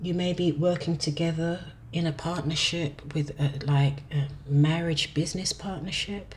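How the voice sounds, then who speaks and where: A woman's somewhat breathy, very deep, low voice, monotone and flat, at a fairly slow pace with long, frequent pauses. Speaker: tarot reader. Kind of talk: tarot reading monologue. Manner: hesitant, with fillers; speaking softly.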